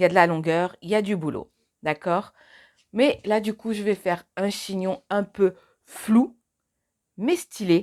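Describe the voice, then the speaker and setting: Medium-pitched, a woman talks at a fairly slow pace. The recording is very clean, with a silent background. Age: 30s. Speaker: beauty vlogger. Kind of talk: tutorial. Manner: casual, chatty.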